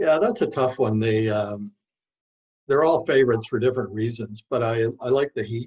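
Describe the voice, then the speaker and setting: A man speaks at medium pitch in a somewhat breathy voice. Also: ordinary pitch variation, moderate pace. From Manitoba, Canada (Rapid City). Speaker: author. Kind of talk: interview. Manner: hesitant, many fillers.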